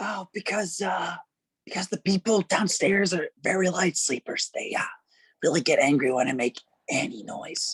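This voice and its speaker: A quiet, raspy whisper in a put-on character voice at a moderate pace. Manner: whispering, hushed.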